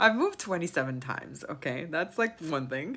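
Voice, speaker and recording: A woman with an American accent speaks in a plain, everyday voice at a fairly low pitch, with lively intonation. The recording is very clean, with a silent background. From New York. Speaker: vlogger. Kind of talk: casual monologue.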